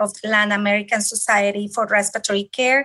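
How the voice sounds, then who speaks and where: A woman's bright, sharp, fairly high voice in a Spanish accent, against a quiet background. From Colombia. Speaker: respiratory therapist. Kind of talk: interview.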